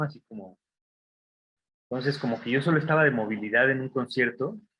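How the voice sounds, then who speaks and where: Speaking at a fairly quick pace with a Mexican accent, a man of medium pitch shows ordinary pitch variation. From Mexico. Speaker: design graduate. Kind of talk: talk to students. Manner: casual, many fillers.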